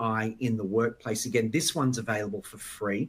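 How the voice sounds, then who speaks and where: A man with an Australian accent talks at a moderate pace. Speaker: conference speaker, education organization president. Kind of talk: conference presentation.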